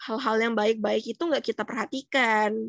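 Recorded dry with no echo over a quiet background, a woman speaks at a moderate pace. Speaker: psychology student. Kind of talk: educational explainer. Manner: casual, conversational. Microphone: webcam.

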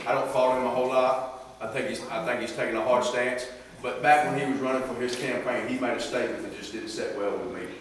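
A man talks at a very fast pace. Strong room echo and light background noise surround his voice. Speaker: lay preacher. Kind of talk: sermon. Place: hall. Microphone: camera far.

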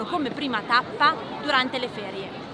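Over crowd noise in the background, a woman uses a raised, projected voice at a moderate pace with ordinary pitch variation, in dry sound with no echo. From Italy. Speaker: travel vlogger. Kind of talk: casual vlog narration. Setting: outdoors in crowded city street. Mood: cheerful, smiling. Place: street. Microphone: phone near.

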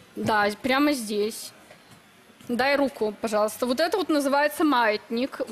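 Ordinary pitch variation runs through the speech, heard against noticeable background noise. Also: woman. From Belarus. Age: 20s. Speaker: bride contestant, self-described witch. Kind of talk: TV talk show interview.

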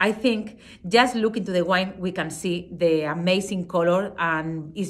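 Someone with a Spanish accent talks at a very slow pace. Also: woman. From Spain. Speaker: wine expert and brand ambassador. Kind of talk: wine tasting presentation. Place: home room. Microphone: phone near.

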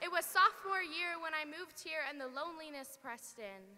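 This voice is raised and projected, moving at a moderate pace. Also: woman. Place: stage. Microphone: handheld.

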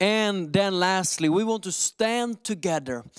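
The voice moves at a fairly slow pace, with a fairly bright, clear, smooth tone. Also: man.

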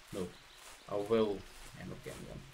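A man with a Scottish accent and monotone, flat intonation. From Scotland. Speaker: gaming streamer. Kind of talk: live gameplay commentary. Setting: live stream. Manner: halting.

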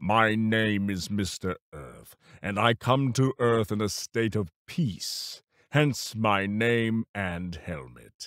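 Using a put-on character voice, a man talks at a very slow pace in a fairly low pitch. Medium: dub.

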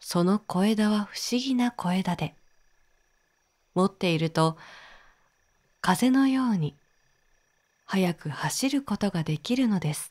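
At a very slow pace with long, frequent pauses, a woman speaks in a medium pitch with lively intonation and a somewhat breathy voice, recorded dry and close with no echo, very clean against a silent background. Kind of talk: sleep story. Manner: soft-spoken, slow.

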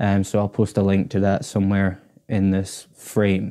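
Against a quiet background, a man with a dark, mellow tone and fairly low pitch talks at a moderate pace. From Scotland, Orkney; Scotland. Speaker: guitarist and YouTuber; YouTuber. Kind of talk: casual vlog to camera. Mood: grateful, relaxed. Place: home room. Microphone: lapel.

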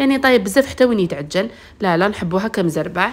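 A woman with an Algerian accent speaks at a medium pitch. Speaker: cooking channel host. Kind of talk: cooking tutorial. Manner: strained, speaking with effort.

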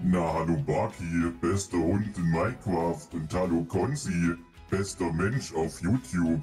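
Over clear background music, a man in a put-on character voice speaks at a fairly slow pace with a very deep, low pitch and very even loudness. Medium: machinima. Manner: polite, gentle.

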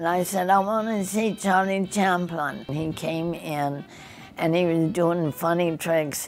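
A woman with an American accent, fairly low-pitched and fairly even in intonation, at a fairly slow pace over faint background music. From United States. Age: 80s+. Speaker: centenarian and former dancer. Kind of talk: interview answer. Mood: animated, fond reminiscing. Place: home room.

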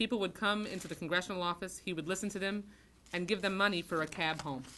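Light background noise sits behind a woman whose fairly low voice has a bright, sharp tone. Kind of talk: formal tribute speech. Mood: solemn, earnest. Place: meeting room. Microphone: podium.

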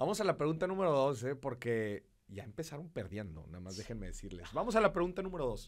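Against a quiet background, a man talks at a very fast pace with hardly any pauses, his fairly high voice animated and full of vocal fry, swinging very widely in pitch and greatly in loudness. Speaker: podcast host. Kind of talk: casual chat. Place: studio. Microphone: studio mic.

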